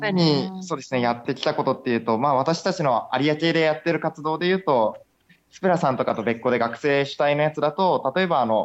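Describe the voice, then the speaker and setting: Talking at a fairly quick pace, a man uses a fairly high pitch and ordinary pitch variation. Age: 20s. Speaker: aquarium director. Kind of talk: interview. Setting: Skype call. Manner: hesitant with fillers.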